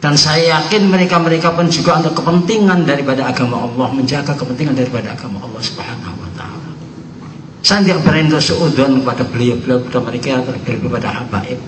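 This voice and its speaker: A man with a fairly high pitch speaks at a very fast pace with lively intonation. Noticeable background noise and audible room echo fill the recording. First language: Javanese (speaking Indonesian). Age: 70s. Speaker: Islamic boarding school cleric. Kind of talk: religious speech. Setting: prayer gathering.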